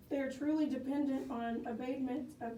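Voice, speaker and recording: With noticeable background noise behind her, a woman speaks at a moderate pace in a monotone, flat intonation. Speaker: landowner speaking at county commissioners court. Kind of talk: public comment at a county court hearing.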